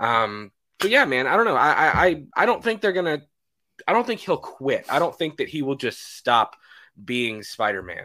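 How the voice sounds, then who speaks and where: A man with a fairly high pitch and vocal fry speaks at a moderate pace with a bright, sharp tone and very wide pitch swings. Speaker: movie podcast host. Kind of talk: casual chat. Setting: video call.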